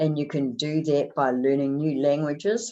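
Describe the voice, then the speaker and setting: A dark, mellow tone at a very slow pace, with a New Zealand accent. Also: woman. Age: 70s. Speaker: motivational speaker. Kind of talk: motivational talk.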